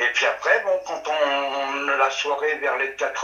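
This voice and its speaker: A fairly high-pitched man at a fairly slow pace, with audible room echo and noticeable background noise. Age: 60s. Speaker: witness recounting sighting. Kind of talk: testimony. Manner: halting.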